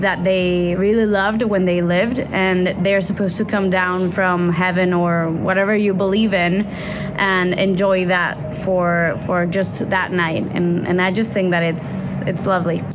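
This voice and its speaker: A woman speaks at medium pitch and a moderate pace. Noticeable background noise and audible room echo fill the recording. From Mexico, Mexico City. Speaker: company employee. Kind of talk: casual interview talk. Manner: somewhat halting, repeating words.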